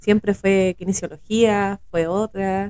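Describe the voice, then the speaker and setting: Her intonation is monotone and flat. The woman's pitch is medium. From Chile, Valparaíso region (Villa Alemana). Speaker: podcast co-host. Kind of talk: casual podcast conversation.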